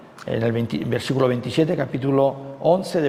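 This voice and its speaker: Over noticeable background noise, a man talks at a moderate pace. His intonation stays fairly even, with audible room echo. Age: 60s. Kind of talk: sermon. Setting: retreat talk. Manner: conversational with frequent fillers.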